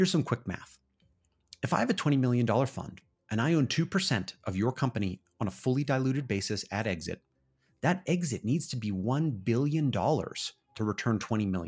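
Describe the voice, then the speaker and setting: This man has a medium pitch and a somewhat breathy voice, speaking at a moderate pace with lively intonation. The recording is very clean, with a silent background. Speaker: podcast announcer. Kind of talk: scripted narration.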